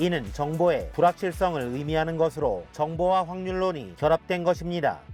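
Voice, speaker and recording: Someone speaks at a moderate pace with music in the background. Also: man, high pitch for a man, ordinary pitch variation. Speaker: math teacher. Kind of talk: educational lecture narration.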